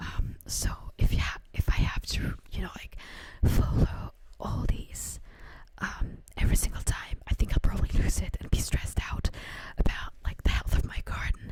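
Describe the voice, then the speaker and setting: Against noticeable background noise, a woman whispers in a relaxed tone at a moderate pace. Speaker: ASMR creator. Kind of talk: ASMR talk to camera, casual chatty. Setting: home, condenser microphone. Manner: soft-spoken, relaxed.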